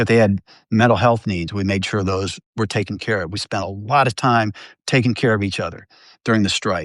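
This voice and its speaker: Against a quiet background, a man talks at a fairly quick pace with a fairly low pitch and fairly even intonation. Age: 60s. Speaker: newspaper journalist and union member. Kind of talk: interview. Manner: halting, many fillers and restarts.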